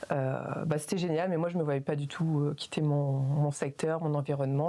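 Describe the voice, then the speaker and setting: A woman with a very deep, low pitch talks at a fairly quick pace. Her intonation stays fairly even. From northern France, Calais (Pas-de-Calais). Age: 40s. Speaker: PBA practitioner. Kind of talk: casual interview. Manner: hesitant, many fillers.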